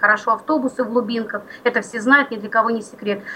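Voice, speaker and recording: A woman speaks with ordinary pitch variation. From Belgorod region, Russia. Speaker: regional library worker for the blind. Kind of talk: radio interview.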